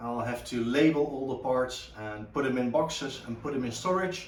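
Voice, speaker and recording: Over noticeable background noise and audible room echo, a man with a Dutch accent speaks at a fairly quick pace in a medium pitch with ordinary pitch variation. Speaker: car restoration hobbyist. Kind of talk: tutorial. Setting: home garage. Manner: halting, many fillers.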